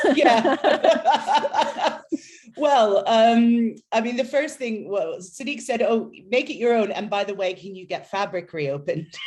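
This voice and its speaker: With an American accent, the speaker goes very slowly, the pitch swinging very widely and the loudness rising and falling sharply. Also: woman, fairly high pitch for a woman. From United States. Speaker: city nightlife official. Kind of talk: interview.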